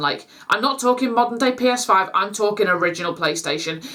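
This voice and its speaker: With ordinary pitch variation, a woman talks at a fairly quick pace. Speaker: YouTube vlogger. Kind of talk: casual vlog chat to camera. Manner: halting, stumbling over words; informal, many fillers.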